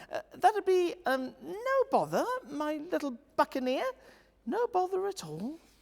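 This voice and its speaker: A woman speaks in a high, put-on character voice. Her pace is fairly slow. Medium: read story. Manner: pirate slang, hearty.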